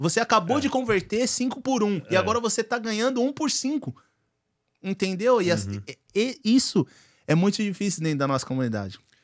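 Against a quiet background, a man talks at a fairly quick pace. His pitch is high and his intonation lively. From Brazil. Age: 30s. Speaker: car dealer; podcast guest. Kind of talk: casual chat. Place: studio. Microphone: studio mic.

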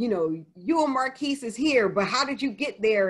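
A woman speaks with an American accent and lively intonation. The background is quiet. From New Jersey. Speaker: author. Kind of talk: Q&A session. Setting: video call. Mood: reflective, earnest. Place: home room. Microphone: video call.

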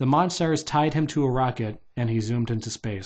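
In a natural reading voice, the pitch shifts in an ordinary way.

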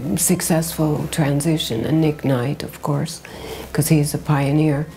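A woman with an American accent speaks at a very deep, low pitch with fairly even intonation while music plays in the background. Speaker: fashion designer, writer, editor, festival founder. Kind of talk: interview answer.

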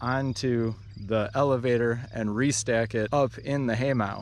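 With light background noise, a man speaks in fairly even intonation, the sound dry with no echo. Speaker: painter vlogger. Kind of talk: casual vlog chat. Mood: relaxed, reminiscing. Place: open country. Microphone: phone near.

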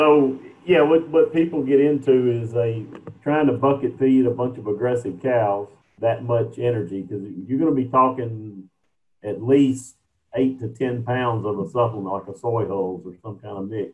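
A man with a normal speaking voice talks at a moderate pace and medium pitch, with ordinary pitch variation. His loudness swings widely. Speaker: extension specialist in cattle feeding. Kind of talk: Q&A discussion. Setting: video call.

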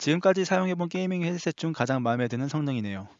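The speaker is a man with ordinary pitch variation. He talks very fast. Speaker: tech hardware reviewer. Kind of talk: scripted product review narration.

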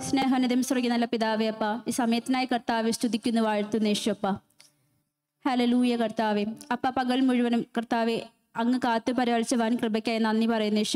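A woman speaks with a fairly high pitch in a flat, monotone delivery. Her loudness stays very even against a quiet background. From Kerala, India. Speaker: worship leader. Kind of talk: prayer. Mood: fervent, devotional. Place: hall. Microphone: handheld.

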